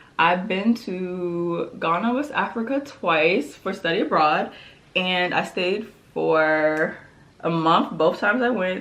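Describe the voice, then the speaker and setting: In a room with audible echo, a woman speaks at a fairly slow pace in a fairly low pitch, her tone animated and her intonation lively. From Prince George's County, Maryland, US. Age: 20s. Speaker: beauty and lifestyle vlogger. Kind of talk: casual chat while doing makeup.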